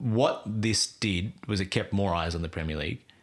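This is a man with an Australian accent. His pitch variation is ordinary. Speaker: podcast guest, football fan. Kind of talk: casual chat.

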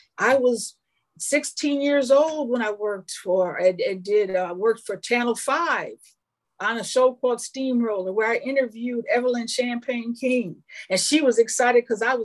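In an American accent, a woman talks with a high pitch and lively intonation. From Minnesota. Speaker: film producer. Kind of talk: casual chat. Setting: studio. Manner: animated.

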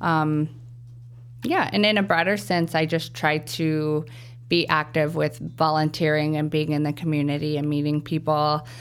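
A woman with a Midwestern US accent and a very deep, low pitch speaks at a moderate pace with fairly even intonation and very even loudness, on a very clean recording with a silent background. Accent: General American, Midwest. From US Midwest, Wichita, Kansas. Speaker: speech language pathologist. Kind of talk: interview.

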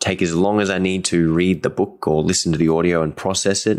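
The speech moves at a moderate pace in a very clean recording with a silent background. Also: man. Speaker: guitar teacher and podcast host. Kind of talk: solo podcast monologue. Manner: informal, unscripted.

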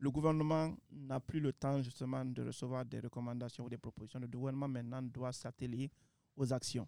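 An unremarkable speaking voice from a man, medium in pitch, at a moderate pace, with a dry, close sound and no echo. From Guinea. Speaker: president of an advocacy council, graduate. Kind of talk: panel discussion interview.

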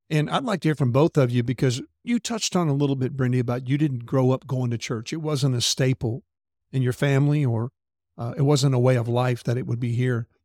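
On a very clean recording with a silent background and a dry, close sound with no echo, a man with a Southern US accent speaks in a dark, mellow tone at a medium pitch and fairly quick pace, his intonation fairly even. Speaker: podcast host. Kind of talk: casual interview chat.

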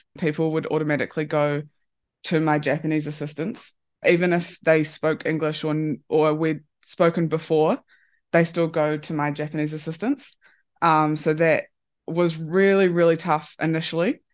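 Over a quiet background, the speaker talks in a New Zealand accent at a moderate pace with monotone, flat intonation. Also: woman, very deep, low pitch for a woman. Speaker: rugby performance analyst. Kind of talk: interview. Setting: remote call.

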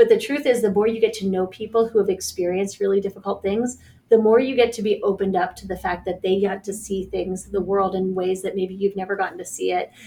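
In an American accent, a woman talks at a very fast pace with hardly any pauses. Her medium-pitched, somewhat breathy voice keeps fairly even intonation. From Pittsburgh, Pennsylvania. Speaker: licensed counselor and nonprofit director. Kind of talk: interview.

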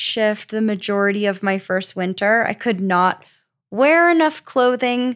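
Speaking very slowly in a very clean recording with a silent background, a woman with an American accent uses a fairly high pitch and ordinary variation. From Florida. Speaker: police officer. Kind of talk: casual chat.

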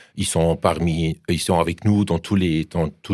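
The pace of this man's speech is very slow. It is a very clean recording with a silent background. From Germany. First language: German (speaking French). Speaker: professor. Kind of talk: radio interview. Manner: halting.

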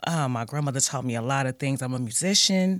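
Very wide pitch swings from a woman with an American accent at a moderate pace, very clean recording, silent background. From US Midwest, Gary, Indiana. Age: 40s. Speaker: person in addiction recovery. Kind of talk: testimony. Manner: halting, many fillers.

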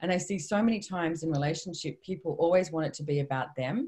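Somewhat breathy and dark, mellow in tone, a woman with a very deep, low pitch speaks at a fairly quick pace with ordinary pitch variation. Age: 50s. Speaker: author and personal development trainer. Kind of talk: interview.

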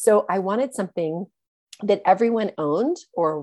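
A woman's medium-pitched, dark, mellow voice with lively intonation and an American accent. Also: quiet background. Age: 40s. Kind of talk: interview.

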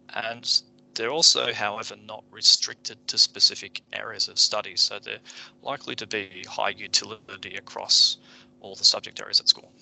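Over noticeable background noise, a man speaks at a moderate pace with big swings in loudness. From Japan (childhood). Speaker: education leader, teacher. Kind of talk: educational podcast explanation.

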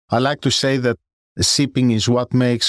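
Recorded dry and close with no echo, a man with a Greek accent speaks at a medium pitch. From Greece. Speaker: professor. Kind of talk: interview. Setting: studio. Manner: formal.

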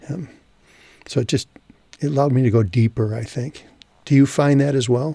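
A man with a dark, mellow tone and medium pitch speaks at a fairly quick pace with long, frequent pauses, somewhat breathy and with ordinary pitch variation. The sound is dry and close with no echo. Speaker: podcast host. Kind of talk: casual chat.

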